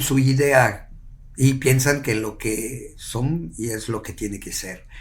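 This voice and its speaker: Audible room echo surrounds a somewhat breathy voice. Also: man. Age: 70s. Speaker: yoga teacher. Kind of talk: casual chat. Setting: at the host's home.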